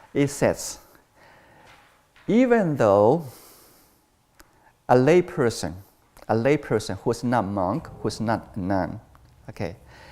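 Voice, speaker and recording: Speaking with a Chinese accent, this voice moves at a very slow pace. Long, frequent pauses break up the speech. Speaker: Buddhist monastic teacher. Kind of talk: dharma talk. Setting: temple. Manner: halting, with frequent fillers.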